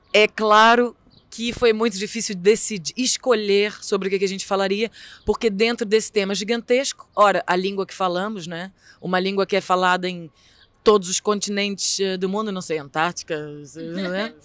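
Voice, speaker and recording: A woman with a Brazilian accent speaks at a moderate pace with fairly even intonation. Her loudness swings widely, and the sound is dry with no echo. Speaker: theatre artist; interviewee. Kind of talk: interview. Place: street. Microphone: handheld.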